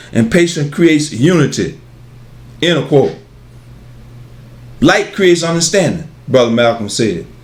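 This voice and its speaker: A man speaks with lively intonation and vocal fry, leaving long, frequent pauses. Audible room echo surrounds his voice. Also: fairly high pitch for a man, moderate pace. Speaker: pan-African metaphysics lecturer. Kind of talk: lecture. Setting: video studio with cameraman. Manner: halting, repetitive.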